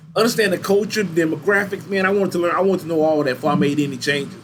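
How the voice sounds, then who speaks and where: With an American accent, a man speaks with ordinary pitch variation over noticeable background noise. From Louisiana and Texas (Baton Rouge, then Texas). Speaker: university recreation supervisor. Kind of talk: interview, casual storytelling. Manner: animated.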